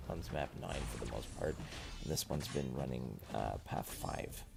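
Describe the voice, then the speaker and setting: Music plays quietly in the background as a man speaks at a moderate pace. His pitch swings very widely. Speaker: gaming streamer. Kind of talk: live gaming stream chat. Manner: quieter, lower voice at night; halting, many fillers.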